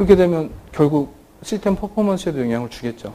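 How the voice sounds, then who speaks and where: A man's high-pitched, dark, mellow voice with very wide pitch swings. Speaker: database software presenter. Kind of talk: technical conference talk. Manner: fast.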